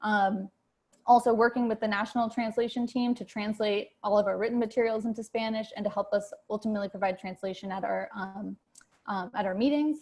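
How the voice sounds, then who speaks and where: With fairly even intonation, the somewhat breathy voice keeps a fairly quick pace. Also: woman, fairly high pitch for a woman. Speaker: candidate for chapter co-chair. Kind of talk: campaign speech. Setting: video call. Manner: fast; many fillers, halting.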